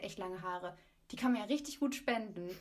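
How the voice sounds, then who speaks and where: A woman with a plain, everyday voice speaks at a fairly quick pace, her intonation lively. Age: 20s. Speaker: student. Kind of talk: casual chat.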